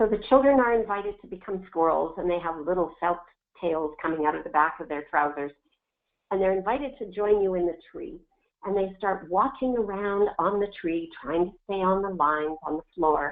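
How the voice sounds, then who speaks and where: Using an ordinary speaking voice, a woman talks at a moderate pace with medium pitch and lively intonation. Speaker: early childhood physical literacy researcher. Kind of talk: webinar presentation. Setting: online webinar.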